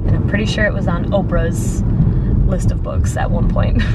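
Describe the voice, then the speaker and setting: Speech comes at a moderate pace. Loud background noise fills the recording. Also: woman. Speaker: vlogger. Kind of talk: casual vlog chat. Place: car. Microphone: phone near.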